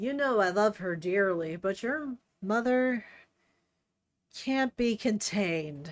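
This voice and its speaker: A raspy, put-on character voice with lively intonation moves at a fairly slow pace with long, frequent pauses, in a very clean recording with a silent background. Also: woman, medium pitch for a woman. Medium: read story.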